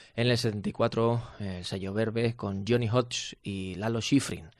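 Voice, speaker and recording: A man talks at a very slow pace in a quiet background. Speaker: radio host. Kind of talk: radio music show presenting. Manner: hesitant, many fillers.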